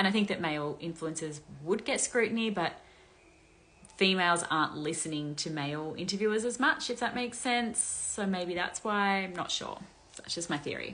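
A woman with an Australian accent, a bright, sharp tone and lively intonation. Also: fairly quick pace. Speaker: influencer gossip commentator; commentator answering viewer questions. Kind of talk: casual monologue, commentary. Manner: casual, chatty. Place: home room. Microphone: phone near.

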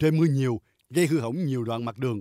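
A man with a fairly high pitch and lively intonation speaks in a dark, mellow tone, recorded with a dry, close sound and no echo. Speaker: news narrator. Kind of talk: news reading.

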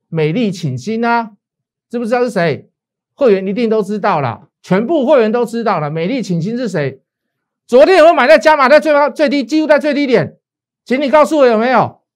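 A man with a Taiwanese accent speaks at an extremely high pitch in an animated tone. His pitch swings very widely at a fairly quick pace over a quiet background. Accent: Taiwanese Mandarin. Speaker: stock market analyst and show host. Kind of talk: financial analysis show with sales pitch. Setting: studio. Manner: animated, persuasive, colloquial.

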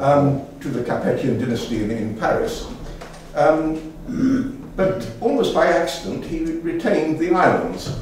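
A man with a fairly high-pitched voice speaks in a room with strong echo and light background noise. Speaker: local language enthusiast, dictionary compiler. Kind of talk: public lecture. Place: hall.

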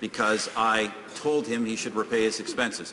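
The speech moves at a moderate pace with ordinary pitch variation. Noticeable background noise runs underneath. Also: man. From Canada. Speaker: prime minister. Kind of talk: parliamentary question period answer. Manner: combative. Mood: firm, defensive. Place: hall.

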